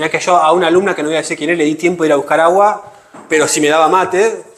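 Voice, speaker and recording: Over noticeable background noise and audible room echo, a man talks very fast at a fairly high pitch with ordinary pitch variation. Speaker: teacher. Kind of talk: lecture.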